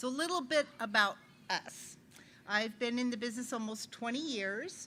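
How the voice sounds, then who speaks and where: A woman speaks loudly with a high pitch. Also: ordinary pitch variation, moderate pace. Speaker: loan officer. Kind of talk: business presentation.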